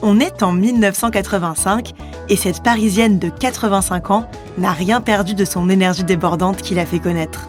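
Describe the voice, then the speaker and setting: Music plays in the background as a woman speaks at a moderate pace in a medium pitch. Her intonation is fairly even and her loudness very even. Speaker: podcast host. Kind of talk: podcast introduction.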